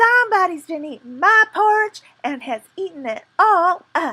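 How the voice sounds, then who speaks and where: In a put-on character voice, a woman speaks at an extremely high pitch, squeaky and raised in projection. Her pace is moderate. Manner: dismayed.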